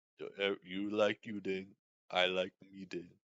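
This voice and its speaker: A man's fairly low-pitched voice at a fairly slow pace. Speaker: streamer. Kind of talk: casual chat. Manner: monotone; halting.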